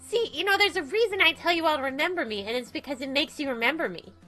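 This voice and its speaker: Music plays in the background as a woman performs a put-on character voice. It is squeaky and playful in tone, with very wide pitch swings. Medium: game stream. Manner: playful, cheeky, attention-seeking.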